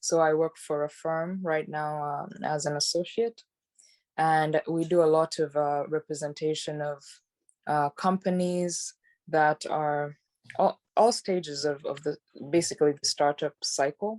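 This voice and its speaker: Against a quiet background, a woman with a very deep, low voice speaks at a fairly slow pace with fairly even intonation, the sound dry and close with no echo. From Uganda. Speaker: tech and startup lawyer. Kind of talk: podcast interview. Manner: hesitant, many fillers.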